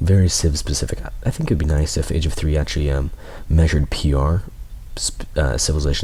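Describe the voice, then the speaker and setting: A soft-spoken man talks at a very fast pace against noticeable background noise. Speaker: game commentator. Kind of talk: live commentary. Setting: livestream.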